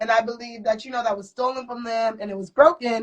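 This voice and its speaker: A woman rattles along at a very fast pace in a fairly high pitch. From Ohio, US Midwest. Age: 20s. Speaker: henna artist and student. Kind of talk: casual interview chat. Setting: live-streamed interview at community event.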